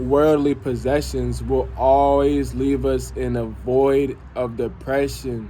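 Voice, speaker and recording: A man speaks at a very slow pace. There is noticeable background noise and audible room echo. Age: 20s. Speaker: vlogger. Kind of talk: personal vlog monologue.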